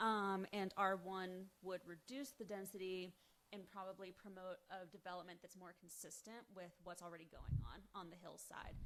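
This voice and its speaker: A woman shouting at a medium pitch and moderate pace, with fairly even intonation and big swings in loudness. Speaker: planning commission member. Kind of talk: public meeting questioning. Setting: town meeting room. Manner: loud, feels like yelling.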